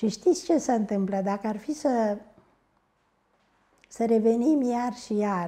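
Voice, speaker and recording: Very slow delivery in a dark, mellow tone, broken by long, frequent pauses. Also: woman, fairly high pitch for a woman, lively intonation. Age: 80s+. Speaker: historian. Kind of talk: interview.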